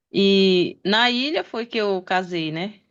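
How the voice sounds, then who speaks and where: This woman's voice sits at a medium pitch with ordinary pitch variation. The background is quiet. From Pará, Brazil (Belém area). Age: 40s. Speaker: interview guest. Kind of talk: interview.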